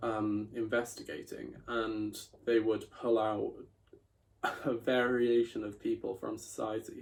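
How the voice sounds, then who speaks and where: A man talks in a South Welsh accent. His pace is fairly slow. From Wales, Bridgend. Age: 20s. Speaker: journalism student. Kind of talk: personal video monologue.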